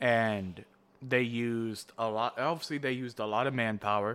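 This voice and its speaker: A fairly slow pace and animated tone in a very clean recording with a silent background. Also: man. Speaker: podcast co-host. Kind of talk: casual chat. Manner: animated, laughs a lot; voice jumps higher when excited.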